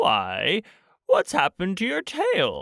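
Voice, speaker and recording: Very cleanly recorded over a silent background, a man performs a put-on character voice at a fairly slow pace. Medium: read story. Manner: slow, thoughtful.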